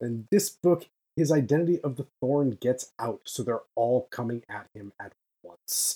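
A man speaks at a medium pitch with a dark, mellow, somewhat breathy tone, big swings in loudness, and a dry, close sound with no echo. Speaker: novelist. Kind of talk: casual chat.

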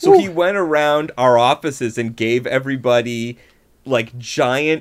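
This is an unremarkable speaking voice from a man. He talks at a fairly slow pace with a fairly high pitch. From Buffalo, New York. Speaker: comedy writer and performer. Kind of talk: casual chat.

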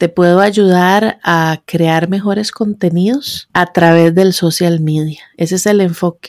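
A woman with a normal speaking voice and fairly low pitch talks at a fairly slow pace with hardly any pauses. Her loudness is very even, her intonation fairly even, and the sound dry and close with no echo. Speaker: podcaster and digital marketing blogger. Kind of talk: interview.

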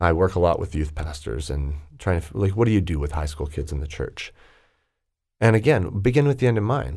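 Somewhat breathy man's voice, very deep and low in pitch, with very wide pitch swings. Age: 40s. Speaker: executive coach. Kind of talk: casual chat.

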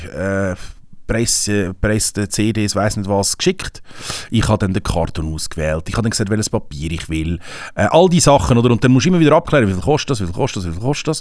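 Over noticeable background noise, a man speaks at a very fast pace. His fairly low voice shows very wide pitch swings. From Switzerland. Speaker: rapper. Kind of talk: casual chat. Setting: studio.

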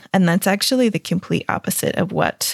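A woman with an American accent speaks with vocal fry and ordinary pitch variation. The sound is dry and close, with no echo. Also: very clean recording, silent background. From US. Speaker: transformation coach and podcaster. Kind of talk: casual interview.

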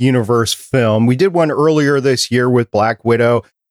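In a normal speaking voice, a man talks at a moderate pace and medium pitch with ordinary pitch variation, the sound dry and close with no echo. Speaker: podcast producer and host. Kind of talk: casual chat. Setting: live-streamed podcast recording.

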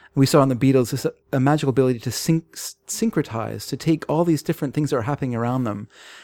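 A man with a Canadian accent talks very fast at a medium pitch, with a dark, mellow tone and ordinary pitch variation, on a very clean recording with a silent background and a dry, close sound with no echo. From Canada. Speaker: podcast co-host. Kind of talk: casual chat.

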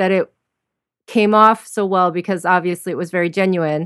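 A woman talks at a moderate pace in a medium pitch. She has a plain, everyday voice. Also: dry, close sound with no echo. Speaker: podcast co-host interviewer. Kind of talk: interview.

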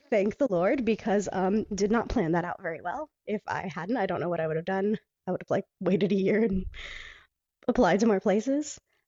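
Using an unremarkable speaking voice, a woman with an American accent talks at medium pitch with ordinary pitch variation. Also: fairly quick pace. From Panama City, Florida, with five childhood years in England. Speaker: stage performer and singer. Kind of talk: casual interview. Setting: home bedroom, remote call.

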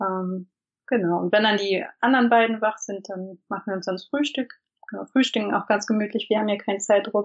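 A woman talks at a fairly quick pace in an ordinary speaking voice, medium in pitch, with fairly even intonation. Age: 30s. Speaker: stay-at-home mother of three. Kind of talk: casual interview. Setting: internet call. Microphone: imperfect sound quality over internet call.

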